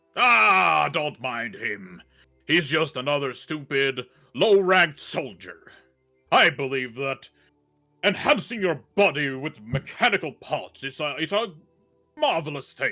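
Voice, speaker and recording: Faint music plays behind a man doing a put-on character voice. It sits fairly high with very wide pitch swings. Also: fairly slow pace. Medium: actual play. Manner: pompous, blustering.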